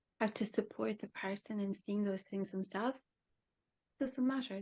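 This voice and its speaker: With a dry, close sound and no echo, a woman talks at a fairly quick pace in a somewhat breathy voice with fairly even intonation. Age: 60s. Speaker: holistic therapist and shamanic practitioner. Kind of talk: interview.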